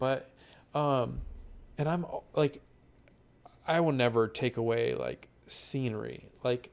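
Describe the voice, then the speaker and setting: A man mumbles at a very slow pace. He leaves long, frequent pauses. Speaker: online roleplay community admin reviewer. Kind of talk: casual spoken review. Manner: mumbling; hesitant, many fillers.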